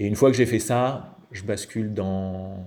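The man's tone is dark and mellow. His pitch sits fairly low. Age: 40s. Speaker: improv actor. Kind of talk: interview. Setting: remote call. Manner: halting.

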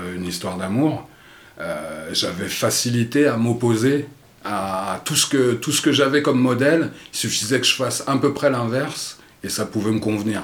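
Noticeable background noise and audible room echo surround this recording. A man speaks at a moderate pace with ordinary pitch variation. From France, Paris area (Vincennes). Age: 50s. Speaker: podcast guest. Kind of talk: casual interview conversation; reading aloud. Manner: halting, many repetitions and hesitations.

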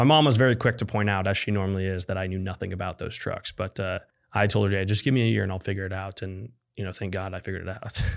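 A man with a Midwestern accent talks at a very fast pace, fairly low in pitch with fairly even intonation, in a very clean recording with a silent background. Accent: General American (Midwest). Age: 20s. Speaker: tech startup founder. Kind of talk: interview storytelling. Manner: casual, many fillers.

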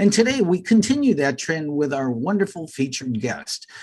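A somewhat breathy voice with an American accent and very wide pitch swings, over a quiet background. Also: man. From United States. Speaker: spirituality podcast co-host. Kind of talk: interview.

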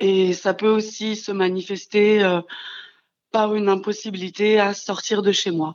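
A woman's intonation stays monotone and flat as she talks at a fairly slow pace. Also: medium pitch for a woman. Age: 30s. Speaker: childminder, abuse survivor. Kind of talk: testimony. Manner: halting.

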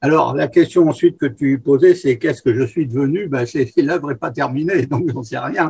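With ordinary pitch variation and a fairly high pitch, a man's somewhat breathy voice moves at a moderate pace. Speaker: freemason, guest. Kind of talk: interview. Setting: remote recording.

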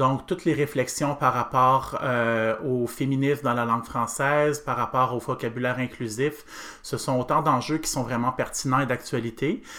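A man with a Quebec accent, medium in pitch, with a bright, sharp tone, fairly even intonation, a fairly slow pace and hardly any pauses. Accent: Québécois French. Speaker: pedagogical adviser for second-language French. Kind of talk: interview.

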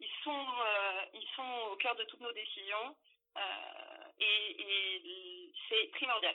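Her intonation is lively. A woman speaks at a very slow pace. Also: fairly high pitch for a woman. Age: 30s. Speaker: HR manager. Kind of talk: interview.

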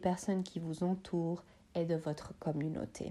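A woman speaks with a dark, mellow tone against a quiet background. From Switzerland, Bosnian family background. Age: 30s. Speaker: psychology student. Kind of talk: scripted talk.

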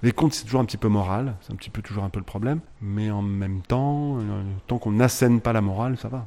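A man speaks at a very fast pace in a fairly low pitch with ordinary variation. His tone is dark and mellow. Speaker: theatre director and musician. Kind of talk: radio interview.

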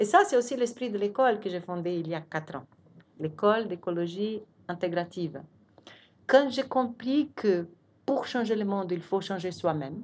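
Here a woman speaks with a Portuguese accent. Her pace is moderate and her intonation lively. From Brazil. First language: Portuguese (speaking French). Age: 50s. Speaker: architect and urban planner. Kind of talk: interview.

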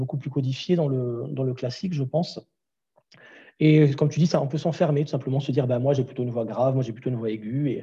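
A man's medium-pitched, somewhat breathy voice, dark and mellow in tone, at a very fast pace with fairly even intonation. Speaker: vocal coach and singer. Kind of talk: interview. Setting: remote call. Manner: frequent laughter. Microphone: poor Wi-Fi connection audio issues.

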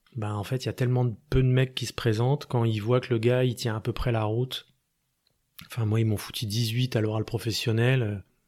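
On a very clean recording with a silent background, a man speaks in a medium pitch at a moderate pace with monotone, flat intonation. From Paris region, France. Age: 40s. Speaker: musician. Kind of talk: interview. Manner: halting.

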